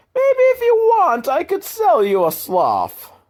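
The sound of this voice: A man puts on a character voice with an Italian accent, pitched extremely high for a man and delivered at a fairly slow pace. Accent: stereotypical Italian.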